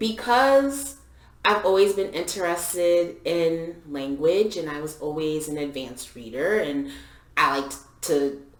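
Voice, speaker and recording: This woman's voice sits fairly low in pitch and makes very wide pitch swings at a fairly slow pace. Audible room echo and noticeable background noise are present. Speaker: podcast co-host. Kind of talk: casual chat.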